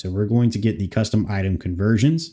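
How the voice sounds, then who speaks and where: On a very clean recording with a silent background, a man speaks in a fairly low pitch with a dark, mellow tone and ordinary pitch variation. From Canada. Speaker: game modder streamer. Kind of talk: live stream modding session. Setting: live stream.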